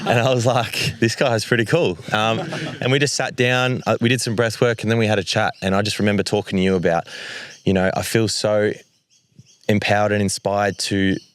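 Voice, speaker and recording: On a very clean recording with a silent background, a man speaks fairly quickly at a fairly low pitch with ordinary pitch variation. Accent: Australian. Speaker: community group founder. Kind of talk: panel conversation on stage. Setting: live event stage with audience. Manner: loud.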